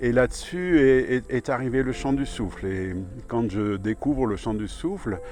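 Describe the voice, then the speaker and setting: Music plays in the background as a man speaks at a fairly slow pace. His intonation is lively. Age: 70s. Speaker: movement and breathwork teacher. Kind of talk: testimony. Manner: halting, with frequent repetitions.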